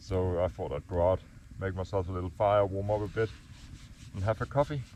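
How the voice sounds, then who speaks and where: A man speaks with a Danish accent at a very deep, low pitch and a fairly quick pace. His tone is dark and mellow, with ordinary pitch variation. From Denmark. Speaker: gold prospector vlogger. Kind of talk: outdoor vlog narration. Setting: outdoors, camping in bush.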